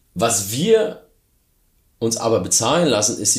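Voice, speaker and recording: A man talks at a very slow pace. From Germany. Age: 40s. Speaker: startup founder. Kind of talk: interview.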